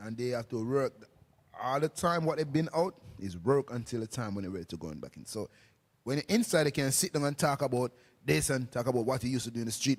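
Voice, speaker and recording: A man speaks fast-ish, with an animated tone and lively intonation. The sound is dry and close with no echo, in a very clean recording with a silent background. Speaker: street preacher. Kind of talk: casual group discussion.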